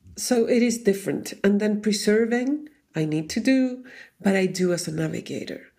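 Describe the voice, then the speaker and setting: In a Chilean Spanish accent, a woman speaks fairly slowly at a medium pitch, her tone dark and mellow, with ordinary pitch variation. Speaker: Enneagram teacher. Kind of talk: casual chat.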